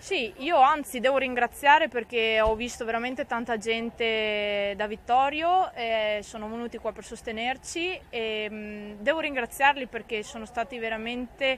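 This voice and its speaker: Over light background noise, a woman speaks fairly slowly with ordinary pitch variation and big swings in loudness, the sound dry with no echo. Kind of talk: interview answer. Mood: calm, slightly disappointed after loss. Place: stadium. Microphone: handheld.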